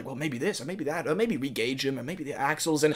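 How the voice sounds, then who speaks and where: Using a put-on character voice pitched fairly high, a man mumbles at a very fast pace over noticeable background noise. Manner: mumbling under breath.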